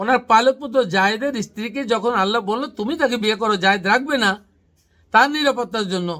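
A man's raised, projected voice, extremely high in pitch, with a bright, sharp tone. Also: ordinary pitch variation. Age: 50s. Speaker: Islamic researcher, channel host. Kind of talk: religious teaching discussion.

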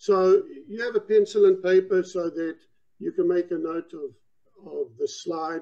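Quiet surroundings and a man's moderately paced speech. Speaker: presenter. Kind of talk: lecture. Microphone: video call.

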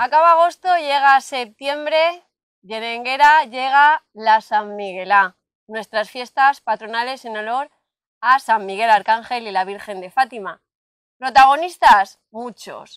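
Against a quiet background, a woman speaks very slowly in a high voice, her loudness swinging widely, the sound dry with no echo. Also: ordinary pitch variation. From Valencia region, Spain. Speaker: local channel interviewer. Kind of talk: interview. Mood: warm, lively. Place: open country. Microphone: lapel.

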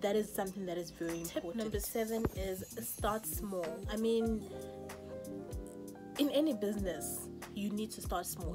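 A woman speaks at a moderate pace while music plays clearly in the background. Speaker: makeup artist. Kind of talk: casual talk to camera. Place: home room. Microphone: phone near.

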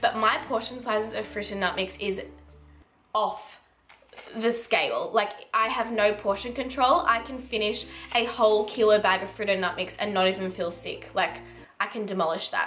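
A woman talks at a moderate pace with ordinary pitch variation. Faint music plays in the background. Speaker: lifestyle vlogger. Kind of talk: casual vlog chat. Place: kitchen. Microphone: camera far.

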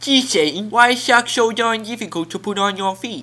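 A man's put-on character voice, high in pitch. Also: moderate pace. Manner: cheerful, naive.

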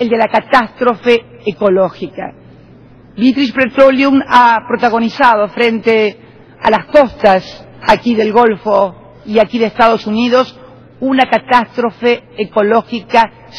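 Speaking very slowly at a high pitch, a woman keeps her loudness very even and her pitch variation ordinary. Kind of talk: formal speech. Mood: firm, argumentative. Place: hall. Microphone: podium.

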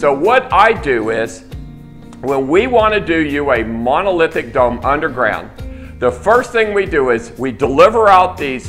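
A man talks fairly slowly. Music plays faintly behind him. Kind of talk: sales presentation to camera. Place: office.

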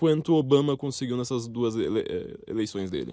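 On a very clean recording with a silent background and a dry, close sound with no echo, a man speaks with ordinary pitch variation. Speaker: podcast host. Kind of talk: interview.

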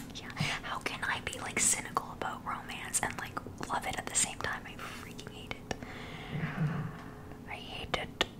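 A woman whispering at a moderate pace, with long, frequent pauses over loud background noise. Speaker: podcaster or streamer. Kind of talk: casual chat and reading quotes. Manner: close intimate whisper into microphone. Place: home room. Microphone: studio mic.

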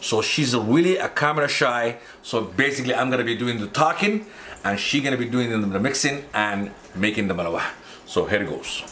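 Fairly quick, lively-toned speech from a man, with light background noise. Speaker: home cook vlogger. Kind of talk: casual vlog chat. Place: kitchen. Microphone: camera far.

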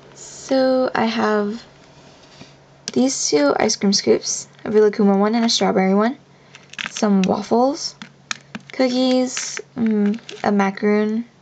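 A woman talks at a very slow pace with long, frequent pauses, a fairly high pitch, ordinary pitch variation and very even loudness. Noticeable background noise is present. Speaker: polymer clay charm maker. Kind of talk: casual craft show-and-tell to camera.

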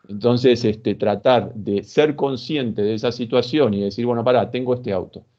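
A man speaks with an Argentine accent at a moderate pace, his dark, mellow tone carrying fairly even intonation. The background is quiet. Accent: Rioplatense Argentine Spanish. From Argentina. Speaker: sports psychologist; guest. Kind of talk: interview. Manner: halting, many fillers. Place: home room. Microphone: video call.

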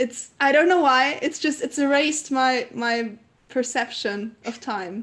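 This woman speaks in a high pitch at a fairly slow pace. Her pitch variation is ordinary. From Canary Islands, Spain. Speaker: singer-songwriter; guest. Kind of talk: casual interview. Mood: cheerful, relaxed. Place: home room. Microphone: video call.

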